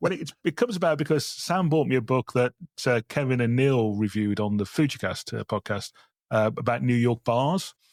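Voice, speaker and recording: A man talks with lively intonation in a West Midlands accent. The recording is very clean, with a silent background and a dry, close sound with no echo. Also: medium pitch for a man, fairly quick pace. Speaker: wedding photographer and podcast co-host. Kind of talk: casual chat.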